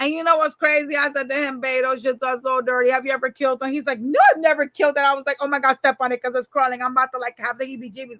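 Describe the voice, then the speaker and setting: Speaking in a New York accent, a woman with a high pitch talks at a very fast pace in a raised, projected voice, animated in tone, with ordinary pitch variation and hardly any pauses. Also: big swings in loudness, dry, close sound with no echo. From New York City, Manhattan. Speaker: tarot reader. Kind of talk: casual chat.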